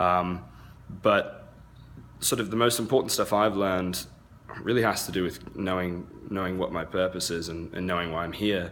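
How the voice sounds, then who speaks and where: In a very deep, low pitch, a man speaks at a moderate pace with fairly even intonation. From England and US (half English, half American). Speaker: event organizer, online seller. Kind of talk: casual walkthrough vlog. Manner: casual, many fillers.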